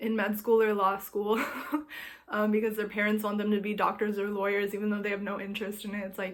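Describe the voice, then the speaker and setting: Room echo is audible around this voice. A woman talks at medium pitch and a fairly quick pace. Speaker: astrology vlogger. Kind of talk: casual vlog talk. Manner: casual, filler-heavy.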